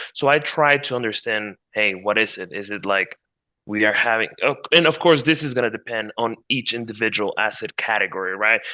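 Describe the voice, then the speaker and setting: A man with a Spanish accent talks fairly quickly at a medium pitch with ordinary pitch variation and a bright, sharp tone over a quiet background. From Mexico. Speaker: market analyst. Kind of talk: interview with screen-share tutorial.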